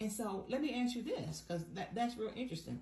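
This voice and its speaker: A woman at medium pitch with ordinary pitch variation, over noticeable background noise. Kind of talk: interviewer, casual.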